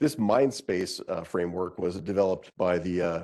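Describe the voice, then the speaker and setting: In an American accent, a man speaks at a moderate pace with a dark, mellow tone. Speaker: physician and professor. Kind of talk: lecture.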